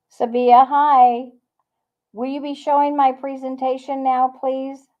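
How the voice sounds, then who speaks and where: This woman, with an American accent, has a high pitch and a monotone, flat delivery, speaking at a fairly slow pace with big swings in loudness. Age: 70s. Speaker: leadership consultant and presenter. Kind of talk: conference talk.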